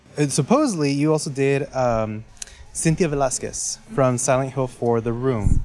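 A man with an unremarkable speaking voice talks at a fairly slow pace, his pitch fairly high and its variation ordinary. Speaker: co-interviewer. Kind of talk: interview.

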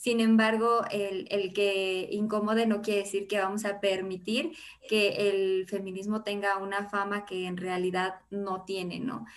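A woman talks with hardly any pauses. Her intonation stays monotone and flat. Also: medium pitch for a woman, fairly slow pace. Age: 20s. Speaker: feminist social media founder. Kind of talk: podcast interview.

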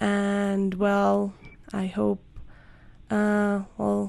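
A woman with a Spanish accent. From Colombia. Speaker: podcast host. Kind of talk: interview.

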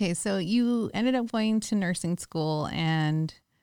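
This woman has an American accent, a medium pitch and ordinary pitch variation, heard in a very clean recording with a silent background. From San Francisco Bay Area, California. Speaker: podcast co-host, investor. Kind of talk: casual chat. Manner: laughs often.

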